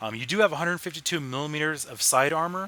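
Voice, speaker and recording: A man speaks loudly in a bright, sharp tone. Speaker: video game reviewer. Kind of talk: gameplay commentary. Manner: animated.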